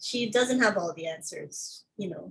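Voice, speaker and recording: A woman's medium-pitched voice comes across somewhat breathy. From Philippines. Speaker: filmmaker and activist. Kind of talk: casual interview.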